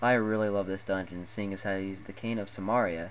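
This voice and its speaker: A man's ordinary speaking voice, fairly low in pitch, with fairly even intonation and a fairly quick pace. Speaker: gaming video narrator. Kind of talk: game ranking voice-over. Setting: low-quality home recording.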